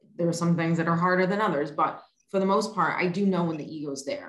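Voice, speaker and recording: A woman speaks in a fairly low pitch with ordinary pitch variation. Room echo is audible. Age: 40s. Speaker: podcast host. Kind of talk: casual interview chat.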